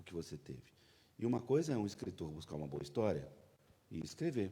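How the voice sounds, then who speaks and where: Very wide pitch swings run through a man's fairly low, dark, mellow voice, which has vocal fry. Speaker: panel moderator. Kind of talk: interview questions on stage.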